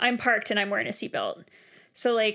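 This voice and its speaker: A woman speaks in a bright, sharp tone. Her pace is fairly quick. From Canada. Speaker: podcast co-host. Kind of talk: casual chat. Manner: animated.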